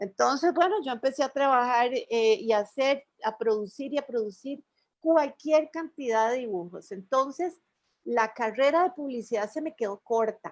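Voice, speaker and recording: The speaker has a Costa Rican accent and lively intonation. The pace is moderate, and the background is quiet. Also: woman, high pitch for a woman. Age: 60s. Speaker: illustrator. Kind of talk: radio interview. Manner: conversational, storytelling.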